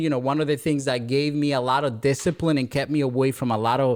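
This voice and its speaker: In a very clean recording with a silent background, a man with a Spanish accent talks at a very fast pace in a fairly high pitch. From Dominican Republic. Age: 20s. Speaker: real estate entrepreneur. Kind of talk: podcast interview. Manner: repetitive, halting.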